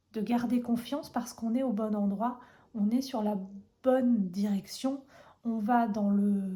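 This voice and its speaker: Very slowly, a woman with a medium-pitched, dark, mellow and somewhat breathy voice speaks in a fairly even intonation. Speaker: tarot reader. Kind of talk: tarot reading video.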